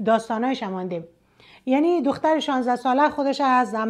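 A woman speaks in an Afghan accent at a fairly quick pace, her voice high with ordinary pitch variation. The background is quiet. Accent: Afghan Dari. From northern Afghanistan, Mazar-i-Sharif region; Afghanistan. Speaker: storytelling video blogger. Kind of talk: story narration with commentary. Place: home room.

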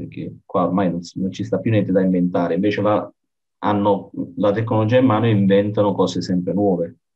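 A man talks at a fairly quick pace with a very deep, low pitch. His intonation stays fairly even against a quiet background. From Italy. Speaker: podcast host. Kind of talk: casual interview. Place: home room. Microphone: video call.

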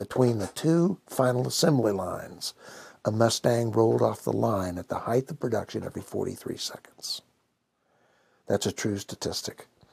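Over a quiet background, a man speaks at a fairly slow pace with vocal fry and ordinary pitch variation. The sound is dry with no echo. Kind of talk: interview answer.

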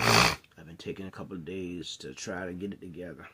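Over noticeable background noise, a man with a very deep, low pitch speaks at a moderate pace in a tired tone. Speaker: vlogger. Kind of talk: casual vlog chat. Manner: tired, sick, low-energy voice. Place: home room. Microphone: phone near.

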